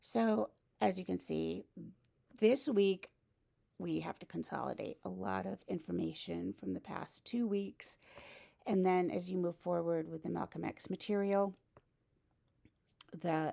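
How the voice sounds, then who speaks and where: A woman talks at a fairly slow pace with long, frequent pauses. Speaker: college instructor. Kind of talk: course announcement video.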